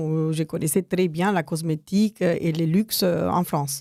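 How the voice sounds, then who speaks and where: A woman talks at a fairly slow pace with a fairly low pitch and fairly even intonation. Her tone is dark and mellow, and the sound is dry and close with no echo. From United States, of Mexican descent. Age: 60s. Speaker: cosmetics entrepreneur. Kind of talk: radio interview. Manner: hesitant, many fillers.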